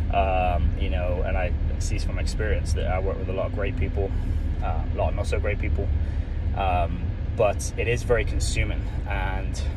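A man talks at a moderate pace with long, frequent pauses, his voice dry with no echo over noticeable background noise. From United Kingdom. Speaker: food truck planner, former teacher and retail manager. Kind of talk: casual talk to camera. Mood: earnest, slightly nervous. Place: car. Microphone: phone near.

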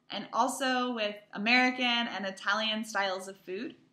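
A woman speaks at a fairly high pitch and a fairly slow pace. Her intonation stays fairly even. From US West Coast, Palo Alto, California. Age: 20s. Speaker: English teacher abroad. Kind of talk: self-introduction video for students. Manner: slow, clear for language learners. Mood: friendly, warm. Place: home room. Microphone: webcam.

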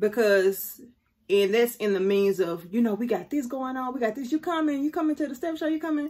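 Speaking at a moderate pace over a quiet background, a woman lets her voice swing very widely in pitch. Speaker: faith vlogger. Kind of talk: casual vlog chat. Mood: warm, animated storytelling. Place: home room. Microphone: phone near.

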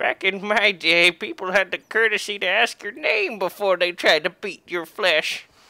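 Pitched in the middle range, a put-on character voice unfolds at a moderate pace. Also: female-sounding voice. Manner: crazed.

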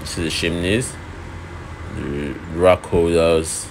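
A man's low-pitched voice with vocal fry, fairly even intonation and a slow pace, over clear background noise.

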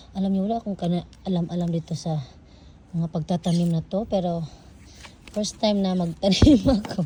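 A woman talks with ordinary pitch variation in an unremarkable speaking voice. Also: fairly low pitch for a woman, moderate pace. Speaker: vlogger. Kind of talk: casual vlog.

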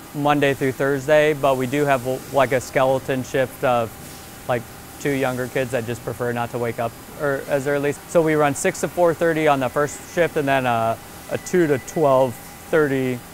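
Over background music, a man speaks at a moderate pace. His intonation is fairly even, and the sound is dry with no echo. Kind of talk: interview answer. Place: factory. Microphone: lapel.

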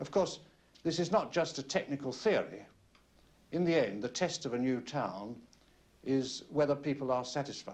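A man with a fairly high pitch and lively intonation speaks at a moderate pace, with long, frequent pauses. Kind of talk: vintage documentary interview, explanatory commentary. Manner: measured, conversational, formal, with hesitant fillers and chuckles.

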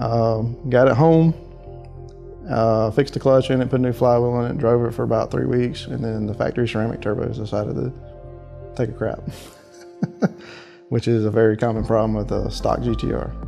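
Clear music plays in the background as a man speaks at a fairly quick pace with ordinary pitch variation. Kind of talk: interview answer. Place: office.

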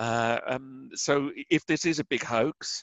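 In an English accent, a man speaks at a medium pitch with ordinary pitch variation. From England. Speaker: author and researcher of conspiracies and crop circles. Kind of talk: interview.

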